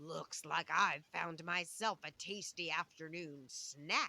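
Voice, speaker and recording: A put-on character voice, growling with a menacing tone. It sits at a middle pitch and moves at a fairly slow pace. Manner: growling, menacing.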